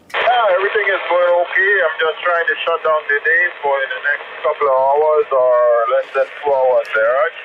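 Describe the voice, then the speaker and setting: Hardly pausing at all, the speaker keeps a moderate pace against noticeable background noise. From Grenada, West Indies. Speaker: truck driver, radio operator. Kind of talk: radio contact chat. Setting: mobile radio in truck, Jasper Park.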